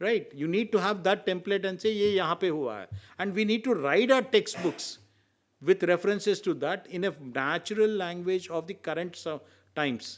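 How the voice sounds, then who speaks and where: A man with an Indian accent speaks at a moderate pace in a high pitch with ordinary variation. The recording is very clean, with a silent background. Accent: Indian English, Telugu. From India, Telugu-speaking region. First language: Telugu. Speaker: senior advocate, legal expert. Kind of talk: round table discussion talk. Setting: round table discussion event.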